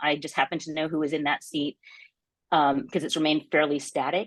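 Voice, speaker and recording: This woman's pitch is very deep and low. Her intonation stays fairly even. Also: quiet background. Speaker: election reform advocate. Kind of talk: panel presentation. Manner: fast.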